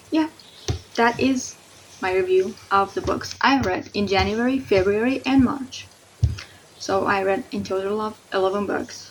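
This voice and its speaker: A woman speaks at a fairly slow pace with a non-native accent, her pitch medium and its variation ordinary. Long, frequent pauses break up her speech over noticeable background noise. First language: not English. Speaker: book reviewer. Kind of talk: casual video review. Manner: animated.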